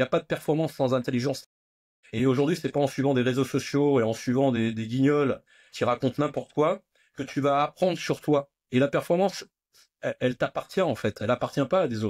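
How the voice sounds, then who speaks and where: In a very clean, silent recording with a dry, close sound and no echo, a man talks at a fairly quick pace in a fairly high pitch with ordinary pitch variation. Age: 60s. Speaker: nutrition and fitness entrepreneur. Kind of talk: interview conversation. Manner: hesitant with many fillers and repetitions.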